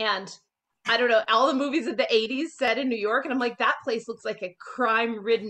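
A woman speaks at a fairly quick pace in a bright, sharp tone. Her pitch varies in an ordinary way over a quiet background. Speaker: interview guest. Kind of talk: interview answer. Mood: cheerful, animated. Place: home room. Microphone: video call.

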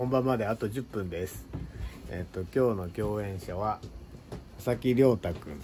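Over light background noise, a man speaks at a moderate pace with a fairly low pitch and lively intonation. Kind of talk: casual vlog chat. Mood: cheerful, smiling. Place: empty room. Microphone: phone near.

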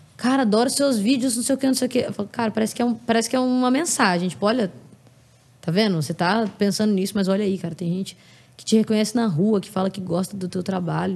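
A woman's dark, mellow, somewhat breathy voice at a very fast pace, with ordinary pitch variation. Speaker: singer; podcast guest. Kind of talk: casual chat. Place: home room. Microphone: studio mic.

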